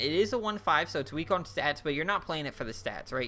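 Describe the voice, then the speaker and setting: This man's fairly high voice has a bright, sharp tone as he speaks at a fairly quick pace. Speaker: gaming YouTuber reviewing card game expansion. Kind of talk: casual video commentary. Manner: fast-talking; animated.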